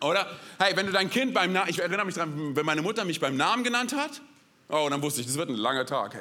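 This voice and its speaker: A man's raised, projected voice, animated and energetic, with very wide pitch swings, audible room echo and noticeable background noise. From Berlin, Germany. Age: 30s. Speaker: guest pastor. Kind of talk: sermon. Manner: animated, energetic.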